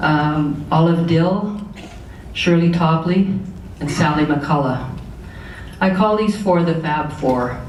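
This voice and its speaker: Speech at a very slow pace with long, frequent pauses over noticeable background noise. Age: 70s. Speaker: awards presenter. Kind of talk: awards ceremony speech. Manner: halting.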